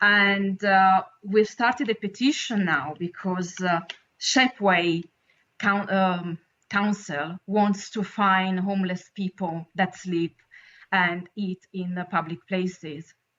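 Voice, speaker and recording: A woman's medium-pitched voice with an Italian accent, very slow pace and fairly even intonation. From Italy. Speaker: caller. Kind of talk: casual chat. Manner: halting.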